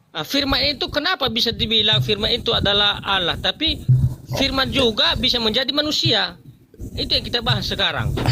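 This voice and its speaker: A man keeps his volume very even while talking fairly quickly against noticeable background noise. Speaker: religious debater. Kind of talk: religious debate. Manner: calm.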